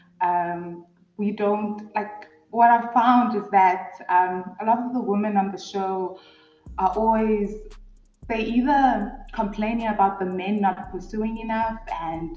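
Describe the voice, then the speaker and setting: A woman with a South African accent speaks at a very slow pace and a fairly high pitch. Her intonation is fairly even, and room echo is audible. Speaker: guest reality show reviewer. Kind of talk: casual chat.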